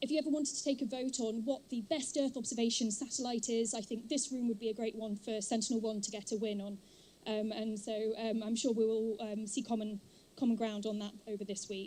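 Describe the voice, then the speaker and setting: A woman speaks at a fairly quick pace in a fairly high, somewhat breathy voice with a dark, mellow tone. Her intonation stays fairly even. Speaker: professor, conference organizer. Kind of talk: welcome speech.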